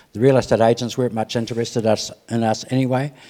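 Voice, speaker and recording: A man speaks in a Southland New Zealand accent at a medium pitch and moderate pace, with ordinary pitch variation and a dark, mellow tone. The recording is very clean, with a silent background. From New Zealand, Southland. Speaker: retired mechanic. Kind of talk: testimony. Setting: church.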